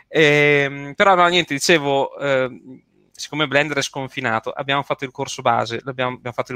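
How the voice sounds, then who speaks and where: A man with a fairly high pitch, a bright, sharp tone and fairly even intonation, in a dry, close sound with no echo. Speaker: livestream host. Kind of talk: casual chat.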